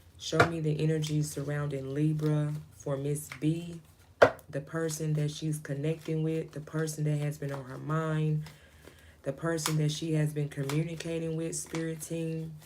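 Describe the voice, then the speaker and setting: A soft-spoken woman with a very deep, low pitch and monotone, flat intonation, at a moderate pace, with audible room echo and noticeable background noise. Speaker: tarot reader. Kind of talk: live stream tarot reading. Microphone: voice too quiet for current mic.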